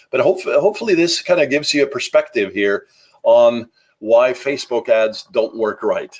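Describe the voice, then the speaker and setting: At a moderate pace, a man speaks with a slight Norwegian accent. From Norway. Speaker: marketing podcaster. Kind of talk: solo podcast talk. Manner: casual with many fillers.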